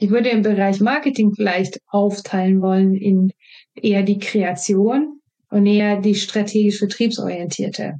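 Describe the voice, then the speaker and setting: In a Swedish accent, a woman with a dark, mellow tone and medium pitch talks at a moderate pace with fairly even intonation. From Sweden. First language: Swedish (speaking German). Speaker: marketing and innovation professional. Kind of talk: interview. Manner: hesitant, many fillers.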